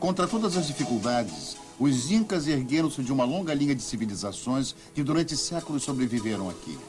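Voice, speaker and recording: Over music in the background, a man talks at a medium pitch with lively intonation. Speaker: voice actor. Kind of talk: documentary narration.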